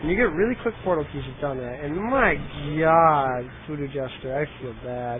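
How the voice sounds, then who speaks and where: A man with a fairly high pitch speaks loudly in an animated tone with lively intonation. His pace is moderate, and there is noticeable background noise. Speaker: game commentator. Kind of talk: live commentary. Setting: livestream, headset. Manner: casual, animated.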